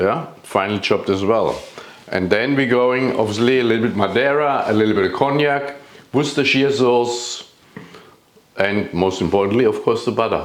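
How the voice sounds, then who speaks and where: A man of medium pitch with a German accent talks at a moderate pace with ordinary pitch variation and very even loudness. Audible room echo and noticeable background noise are present. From Germany. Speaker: chef. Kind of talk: cooking tutorial. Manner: halting, many fillers.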